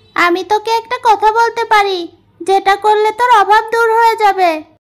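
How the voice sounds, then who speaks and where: A cartoonish, female-sounding character voice at an extremely high pitch moves at a fairly slow pace. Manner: gruff, bossy.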